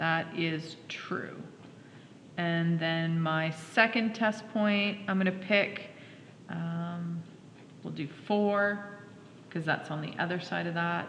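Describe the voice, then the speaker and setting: A woman with fairly low pitch and fairly even intonation at a very slow pace, with long, frequent pauses, audible room echo and noticeable background noise. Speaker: high school math teacher. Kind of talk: classroom lecture.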